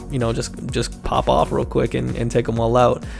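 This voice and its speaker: A man speaks at a moderate pace in an upbeat tone. Music plays in the background. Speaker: gaming content creator. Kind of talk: gaming build guide talk. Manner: casual, upbeat.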